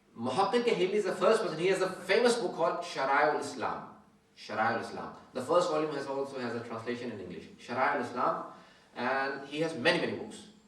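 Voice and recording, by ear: In strong room echo, a man with a medium pitch and a fairly bright tone talks at a fairly quick pace with lively intonation.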